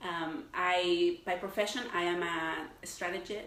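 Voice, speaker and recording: In a Mexican accent, a woman speaks at a fairly low pitch with audible room echo. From Mexico City. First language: Spanish. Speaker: marketing professional and alumni leader. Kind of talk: panel interview. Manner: animated.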